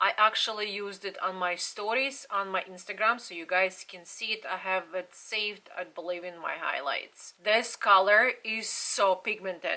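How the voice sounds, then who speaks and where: A woman is speaking. She has a non-native accent. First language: not English. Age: 40s. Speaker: beauty vlogger. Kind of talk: product review.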